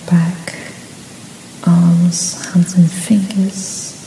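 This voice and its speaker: Soft-spoken and soothing, the voice moves at a very slow pace with fairly even intonation against noticeable background noise. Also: woman. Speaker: reiki practitioner. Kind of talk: reiki session for sleep, guided relaxation. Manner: soft-spoken, slow, soothing.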